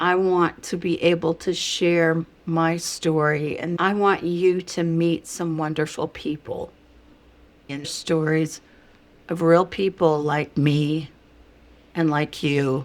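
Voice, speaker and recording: A woman speaks at a very slow pace. Her fairly low pitch stays monotone and flat. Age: 70s. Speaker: channel host sharing personal stories. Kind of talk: channel sign-off; personal testimony to camera.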